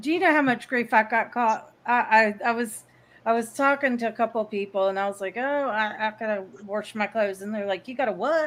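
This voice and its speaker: On a very clean recording with a silent background, a woman with a Southern US accent speaks at a fairly high pitch with ordinary pitch variation. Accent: Southern American drawl. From American South. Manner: animated, telling a story.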